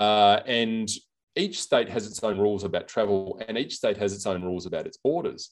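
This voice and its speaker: The speaker has an Australian accent and talks at a moderate pace with ordinary pitch variation. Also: man, fairly low pitch for a man. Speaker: senator. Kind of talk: interview. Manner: hesitant, halting.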